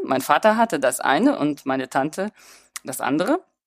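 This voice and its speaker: A woman speaks at a moderate pace with vocal fry and very wide pitch swings. The sound is dry and close with no echo, in a very clean recording with a silent background. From Germany and Hungary. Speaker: visual artist. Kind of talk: interview.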